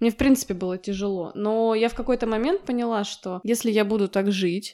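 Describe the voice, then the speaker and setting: Her voice is fairly high with a dark, mellow tone, and the woman speaks at a fairly quick pace with ordinary pitch variation. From Russia, St Petersburg. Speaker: podcast co-host. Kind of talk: casual chat.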